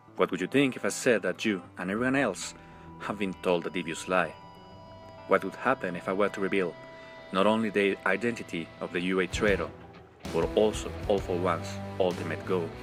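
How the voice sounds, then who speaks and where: Music plays in the background as a man with a non-native accent talks at a fairly quick pace, with ordinary pitch variation. His pitch is fairly low, and he leaves long, frequent pauses. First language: not English. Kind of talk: fan theory video narration. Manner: passionate.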